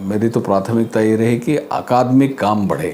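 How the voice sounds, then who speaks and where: Speaking with a Marathi accent, this voice has ordinary pitch variation over noticeable background noise. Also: man. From India, Madhya Pradesh. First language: Marathi (speaking Hindi). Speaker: arts academy official. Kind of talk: interview.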